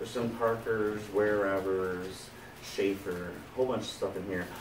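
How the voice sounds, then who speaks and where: Noticeable background noise is present throughout. The talking holds a moderate pace. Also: man. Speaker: pen seller. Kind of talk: casual vlog chat.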